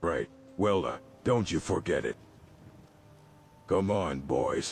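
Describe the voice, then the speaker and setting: Putting on a raspy character voice, a man speaks fairly slowly at a fairly low pitch. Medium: video game. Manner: tough-talking but easily cowed.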